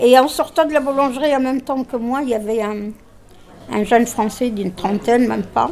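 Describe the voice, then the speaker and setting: Noticeable background noise sits behind a woman speaking at a moderate pace. Her voice is high, with ordinary pitch variation. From Tunisia. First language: Arabic (speaking French). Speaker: discussion group participant. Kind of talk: group discussion.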